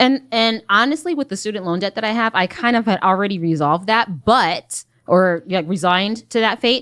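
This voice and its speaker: Speaking with a normal speaking voice, a woman at medium pitch uses lively intonation at a fairly quick pace with hardly any pauses, in a very clean, dry, close recording with no echo and a silent background. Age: 40s. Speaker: small business owner seeking budget help. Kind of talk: heated debate. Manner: defensive.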